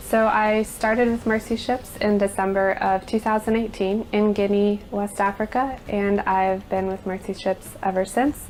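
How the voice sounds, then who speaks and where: A woman with an American accent talks at a moderate pace, barely pausing. Her medium-pitched voice stays flat and monotone. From US Midwest, Nebraska. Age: 30s. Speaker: ship finance manager. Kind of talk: interview testimony. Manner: hesitant with fillers.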